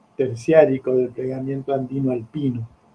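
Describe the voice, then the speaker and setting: At a moderate pace, a man with a medium pitch sounds somewhat breathy and keeps his intonation flat and monotone. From Argentina, Buenos Aires. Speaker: geography teacher. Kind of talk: lecture.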